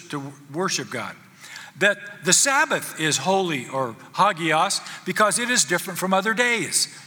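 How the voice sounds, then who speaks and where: A man's raised, projected voice at a high pitch, over noticeable background noise. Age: 70s. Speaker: pastor. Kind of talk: sermon. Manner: halting.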